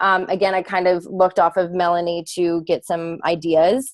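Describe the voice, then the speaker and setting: The voice belongs to a woman. It falls at a medium pitch. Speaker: fitness coach presenting to team. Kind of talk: video call team presentation. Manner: fast.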